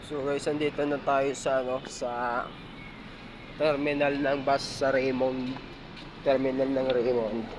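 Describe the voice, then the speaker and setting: A soft-spoken man talks at a fairly slow pace with long, frequent pauses and monotone, flat intonation. Audible room echo and noticeable background noise fill the recording. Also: medium pitch for a man. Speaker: vlogger. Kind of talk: casual vlog. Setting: outdoors, LRT and bus terminal. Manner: soft, quiet.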